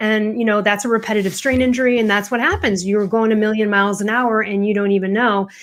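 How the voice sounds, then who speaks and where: Animated in tone, a woman with an American accent talks at a fairly high pitch with ordinary pitch variation. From US Midwest, Chicago. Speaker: author and confidence coach. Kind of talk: podcast interview. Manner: fast-talking.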